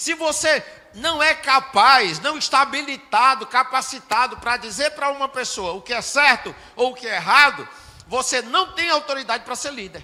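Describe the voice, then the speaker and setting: An extremely high-pitched, projected male voice with ordinary pitch variation and big jumps in loudness, over noticeable background noise. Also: moderate pace. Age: 60s. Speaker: pastor. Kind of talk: sermon.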